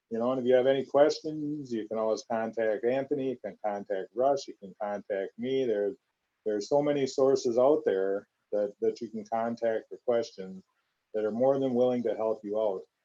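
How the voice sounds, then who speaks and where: Dry and close with no echo, a man speaks at a moderate pace and medium pitch in a dark, mellow tone with fairly even intonation. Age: 60s. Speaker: corrections veteran and police officer. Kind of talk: live stream Q&A panel. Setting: live video stream.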